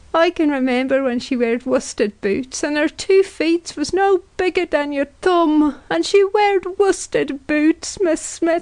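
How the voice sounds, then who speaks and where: In a put-on character voice, a woman speaks high-pitched and strained, with a tearful tone and lively intonation. She goes at a fairly slow pace in a dry, close sound with no echo. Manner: crying, tearful.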